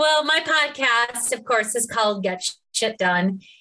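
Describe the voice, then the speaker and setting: Music in the background beneath a woman's lively intonation. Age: 50s. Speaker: speaker, coach and former police officer. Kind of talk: casual interview chat.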